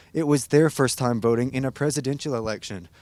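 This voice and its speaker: Heard dry and close with no echo on a very clean recording against a silent background, a man with a normal speaking voice talks at medium pitch and a fairly quick pace, with ordinary pitch variation. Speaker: news reporter. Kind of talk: TV news reporter stand-ups and packages.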